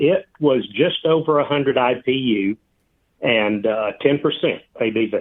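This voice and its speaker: A man with a Southern US accent speaks at a fairly slow pace and medium pitch, with ordinary pitch variation and very even loudness. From Georgia, US South. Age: 60s. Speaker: retired beer enthusiast. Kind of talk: casual interview.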